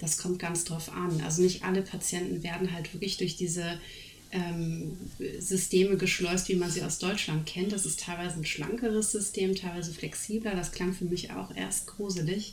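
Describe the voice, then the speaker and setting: Audible room echo surrounds a woman speaking at a moderate pace in a fairly low, monotone, flat voice. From Germany. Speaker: speech therapist. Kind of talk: casual chat.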